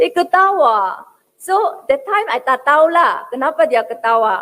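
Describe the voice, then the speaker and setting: Speaking very slowly with a Korean accent, a woman uses a high pitch that swings very widely. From South Korea. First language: Korean (speaking Indonesian). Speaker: academic speaker. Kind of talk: speech. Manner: hesitant, frequent fillers.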